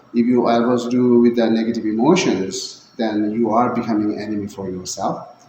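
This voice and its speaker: A man speaks at a moderate pace with fairly even intonation and medium pitch, over noticeable background noise. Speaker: Buddhist teacher. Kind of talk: dharma talk.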